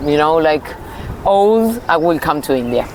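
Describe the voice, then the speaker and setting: Noticeable background noise sits behind this woman. Her fairly low pitch moves with lively intonation. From Uruguay. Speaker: Ayurveda practitioner. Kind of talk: interview. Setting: outdoor festival.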